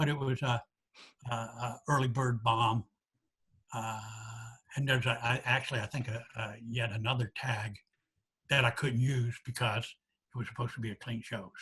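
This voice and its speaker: With long, frequent pauses, a man speaks at a moderate pace in a bright, sharp tone, his medium-pitched voice flat and monotone. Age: 70s. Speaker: stand-up comedian. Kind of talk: podcast interview answer.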